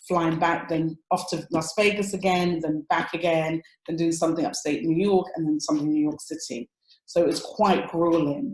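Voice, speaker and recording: This woman speaks with an English accent. Her pitch sits fairly low. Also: moderate pace. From London, Tottenham. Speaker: relationship coach. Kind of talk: interview conversation. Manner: animated.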